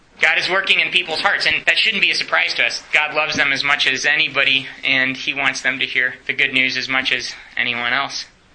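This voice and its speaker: At a fairly quick pace and a fairly high pitch, a man speaks with an American accent over noticeable background noise. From Romania (American missionary family). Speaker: evangelism trainer, full-time minister. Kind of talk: teaching workshop in church class. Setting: church class. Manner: animated.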